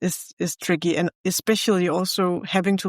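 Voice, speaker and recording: In a Danish accent, the speaker comes through on a very clean recording with a silent background. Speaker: podcast host. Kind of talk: casual chat.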